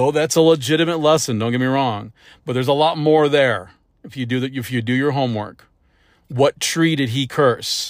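Heard in a very clean recording with a silent background, a man's medium-pitched voice shows ordinary pitch variation. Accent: Midwestern American. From US Midwest, St. Louis area, Missouri. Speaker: preacher. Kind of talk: sermon. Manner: halting, with frequent fillers and restarts.

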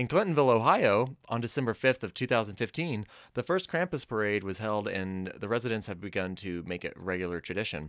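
Fairly low in pitch, a man with an ordinary speaking voice talks at a fairly quick pace with lively intonation on a very clean recording with a silent background. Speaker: guest, logo designer.

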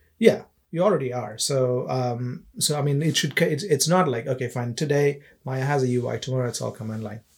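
This man talks at a fairly quick pace in a somewhat breathy voice with ordinary pitch variation. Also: medium pitch for a man. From India. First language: not English. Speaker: game developer. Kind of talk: casual chat.

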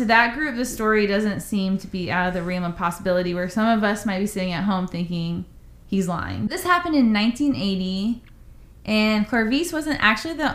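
With an ordinary speaking voice, a woman talks at a fairly quick pace with a medium pitch and lively intonation. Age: 30s. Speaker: podcast co-host. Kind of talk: casual chat, storytelling.

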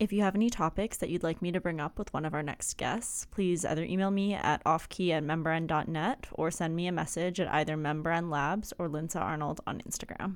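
A woman talks at a fairly low pitch and a fairly quick pace. Hers is a plain, everyday voice with ordinary pitch variation. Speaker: podcast host. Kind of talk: casual interview chat. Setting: video call with guest.

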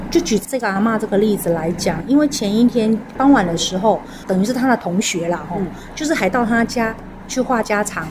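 Through noticeable background noise, a woman with a fairly high pitch speaks at a moderate pace with lively intonation. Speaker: elder care organizer. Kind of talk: interview.

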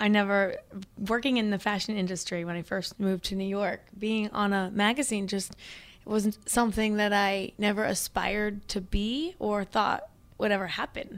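A woman with an American accent, medium pitch, moderate pace, an ordinary speaking voice, very clean recording with a silent background. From Missouri, small town (US Midwest). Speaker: running and strength coach. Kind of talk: interview chat.

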